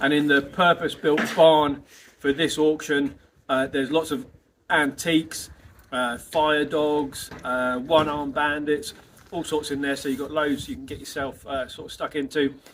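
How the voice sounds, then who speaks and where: With a plain, everyday voice, a man speaks at a moderate pace in a fairly high pitch, his intonation fairly even but his loudness swinging widely. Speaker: auction house staff member. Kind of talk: promotional talk to camera.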